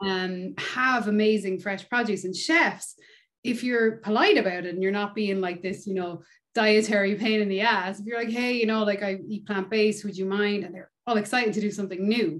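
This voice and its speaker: At a moderate pace, a woman talks with an Irish accent and fairly even intonation. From Ireland. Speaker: touring bass player. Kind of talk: casual interview chat. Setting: video call. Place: home room. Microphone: video call.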